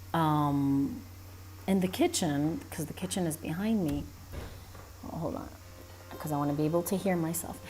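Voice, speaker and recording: Soft-spoken, a woman talks with ordinary pitch variation in a space with audible room echo. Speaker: animator live streamer. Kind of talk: casual live stream chat. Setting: live stream at a cousin's house.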